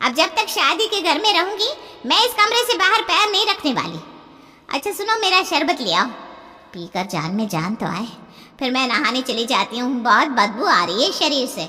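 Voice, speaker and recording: A woman does a cartoonish character voice at a high pitch with very wide pitch swings. Her pace is moderate. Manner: loud, complaining.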